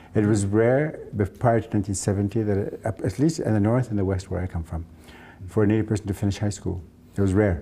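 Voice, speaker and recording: A man talks at a very fast pace, his fairly low pitch somewhat breathy and dark, mellow in tone, with ordinary pitch variation. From northern Manitoba, Canada. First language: Cree. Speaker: playwright. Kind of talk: interview. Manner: halting, many fillers and restarts.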